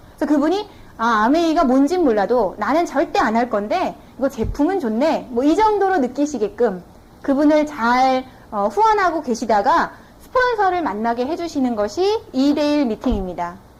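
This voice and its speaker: A woman talks at a high pitch with very wide pitch swings and a moderate pace. There is noticeable background noise. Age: 20s. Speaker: network marketing business owner, former TV announcer. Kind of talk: business seminar lecture.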